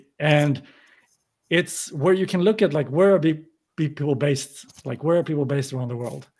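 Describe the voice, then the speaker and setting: A man with a fairly high pitch speaks at a moderate pace, using ordinary pitch variation. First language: not English. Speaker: podcaster and newsletter writer. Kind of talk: panel discussion.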